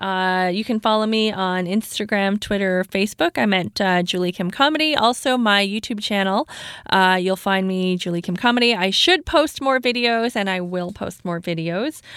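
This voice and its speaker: A woman with a Canadian accent talks at a moderate pace with hardly any pauses. She has an unremarkable speaking voice at medium pitch with ordinary pitch variation. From Canada, Toronto. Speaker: stand-up comedian. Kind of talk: casual chat. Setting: studio.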